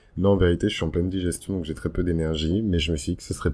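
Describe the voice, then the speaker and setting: A dark, mellow tone comes through. The intonation is fairly even. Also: man. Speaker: astrology YouTuber. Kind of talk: casual vlog talk. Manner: soft, gentle voice.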